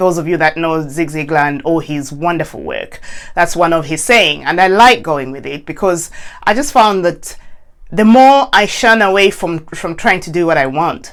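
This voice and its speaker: Lively intonation at a moderate pace. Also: woman, fairly low pitch for a woman. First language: not English. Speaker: coach. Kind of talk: casual chat. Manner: halting.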